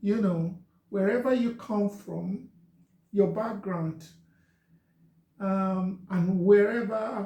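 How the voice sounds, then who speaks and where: At a very slow pace and with long, frequent pauses, a man with a Nigerian accent speaks at a high pitch in a dark, mellow, gentle tone with fairly even intonation. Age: 50s. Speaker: social media talk host. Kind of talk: live stream monologue.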